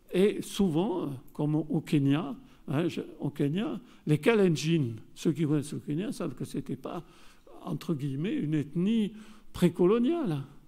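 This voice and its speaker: A man's dark, mellow voice at a high pitch, lively in intonation and fairly slow in pace. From southern France. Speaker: geographer and researcher. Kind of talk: conference lecture. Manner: hesitant, many fillers.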